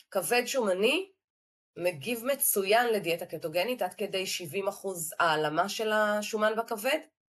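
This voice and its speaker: A woman talks at a fairly slow pace with lively intonation. It is an ordinary speaking voice. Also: medium pitch for a woman. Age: 50s. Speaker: clinical dietitian. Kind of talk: interview.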